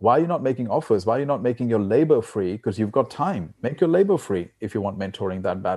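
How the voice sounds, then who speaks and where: With lively intonation, a man speaks at a very fast pace. His voice is medium in pitch, with a dark, mellow tone. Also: hardly any pauses, quiet background. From India, raised partly in Australia. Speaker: financial advisor and success coach. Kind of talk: interview. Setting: call.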